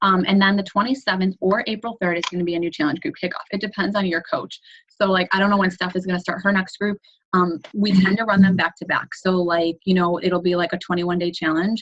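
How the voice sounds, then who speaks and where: A woman with an American accent and a medium pitch speaks at a very fast pace, somewhat breathy, with fairly even intonation. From New York. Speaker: fitness team coach. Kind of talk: team conference call briefing. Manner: casual, filler-heavy.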